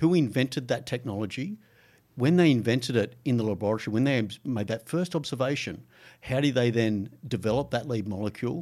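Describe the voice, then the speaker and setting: In a very clean recording with a silent background, a man with an Australian accent talks at medium pitch and a fairly quick pace, with ordinary pitch variation. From Australia, Gold Coast. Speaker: biotech institute general manager. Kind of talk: interview. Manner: hesitant, with fillers.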